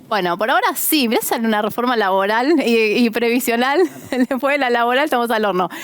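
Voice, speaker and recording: Noticeable background noise sits behind a woman speaking at a very fast pace in a high pitch. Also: lively intonation, very even loudness. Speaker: pension lawyer. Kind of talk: advice answering listener questions. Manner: conversational.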